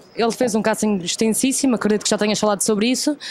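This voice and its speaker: Noticeable background noise accompanies a woman with a European Portuguese accent speaking in a fairly high pitch with fairly even intonation. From Portugal. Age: 20s. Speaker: actress. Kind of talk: interview.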